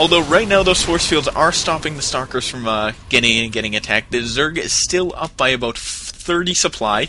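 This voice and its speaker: A man's fairly high voice at a fairly quick pace, with hardly any pauses, lively intonation and noticeable background noise. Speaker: esports commentator. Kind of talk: live commentary.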